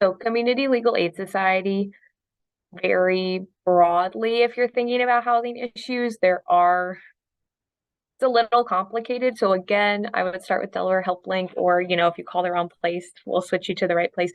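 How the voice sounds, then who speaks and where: A woman talks at a moderate pace in an ordinary speaking voice. Her pitch is medium, with ordinary variation. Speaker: housing attorney. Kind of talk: online training presentation. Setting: video call. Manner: many filler ums.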